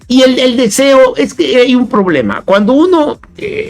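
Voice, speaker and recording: There is music playing behind this man's voice. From Chiapas, Mexico. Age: 60s. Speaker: philosopher and poet. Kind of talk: interview. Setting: radio studio, live broadcast. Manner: halting, many repetitions and fillers.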